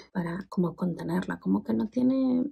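Over a quiet background, a woman whispers at a moderate pace. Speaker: sex educator and vlogger; sex educator vlogger. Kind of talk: product review vlog. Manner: very quiet, near whisper. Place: bathroom. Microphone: phone near.

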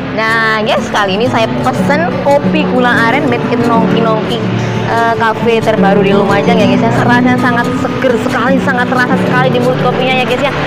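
A woman at a fairly quick pace with hardly any pauses, against loud music in the background. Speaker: food vlogger host. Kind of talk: casual vlog chat. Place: cafe.

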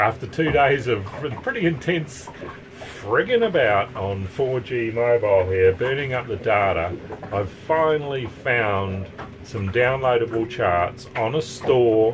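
A man talks at a fairly slow pace with ordinary pitch variation. Noticeable background noise runs behind him. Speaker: sailing vlogger. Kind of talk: casual vlog chat. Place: boat. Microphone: phone near.

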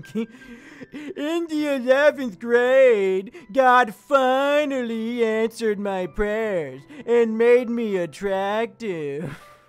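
The speaker uses a put-on character voice pitched fairly high. Delivery is very slow. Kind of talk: comedic live stream monologue. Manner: wacky, silly. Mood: joking, self-deprecating.

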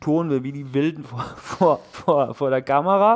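A man's fairly high voice with ordinary pitch variation. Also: quiet background. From rural Germany. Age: 40s. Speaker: fitness YouTuber. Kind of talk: casual chat. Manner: hesitant, many fillers. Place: gym. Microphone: headset.

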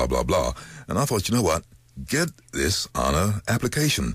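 A man's very deep, low voice with vocal fry and very wide pitch swings, at a moderate pace, in a dry sound with no echo. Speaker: voice actor. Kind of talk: interview answer. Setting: studio. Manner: casual, upbeat. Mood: relaxed, storytelling. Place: studio. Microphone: studio mic.

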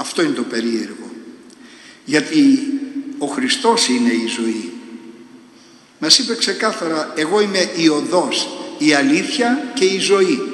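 Amid audible room echo, a man speaks at a fairly slow pace with long, frequent pauses and very wide pitch swings. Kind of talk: sermon. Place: church. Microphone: podium.

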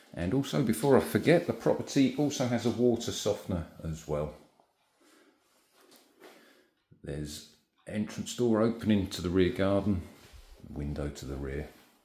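A man with a fairly low pitch speaks at a moderate pace in a dark, mellow, somewhat breathy tone. Long, frequent pauses break up his speech, and audible room echo surrounds it. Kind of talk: property tour narration. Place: home room. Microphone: phone near.

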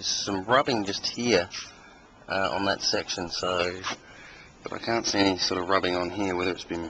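A man's very deep, low voice at a moderate pace, with fairly even intonation, dry sound with no echo and light background noise. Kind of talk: casual walkaround commentary. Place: street.

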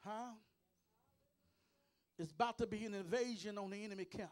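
At a moderate pace, a man speaks with a high pitch, ordinary pitch variation and an energetic tone. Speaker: preacher. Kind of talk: sermon delivered to a congregation. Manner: energetic, call-and-response preaching. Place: church. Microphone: handheld.

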